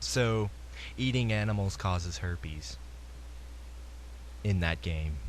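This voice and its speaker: The voice is somewhat breathy and moves at a very slow pace. Its pitch swings very widely. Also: man. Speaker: gaming podcaster. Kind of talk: solo podcast commentary. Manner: casual, hesitant.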